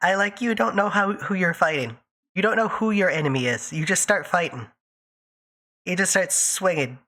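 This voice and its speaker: A woman's medium-pitched voice with very wide pitch swings and long, frequent pauses. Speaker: VTuber streamer. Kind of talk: casual livestream chat. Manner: fast, speeds up when excited; animated.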